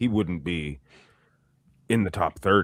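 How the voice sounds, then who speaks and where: A man's very slow, lively-intoned speech with vocal fry, on a very clean recording with a silent background. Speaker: bodybuilding commentator. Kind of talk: casual chat.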